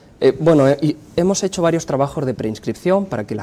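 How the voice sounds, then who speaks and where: Speaking with a Spanish accent, the man's intonation is lively. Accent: Spanish (Spain). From Spain. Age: 30s. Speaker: pollster and communication professor. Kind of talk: interview.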